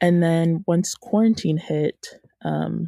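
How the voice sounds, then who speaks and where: A woman with an American accent, fairly low in pitch, with a dark, mellow tone and a dry, close sound with no echo. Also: very clean recording, silent background. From US South, Georgia (Woodstock, near Atlanta). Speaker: college student entrepreneur. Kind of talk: interview. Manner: hesitant, frequent fillers.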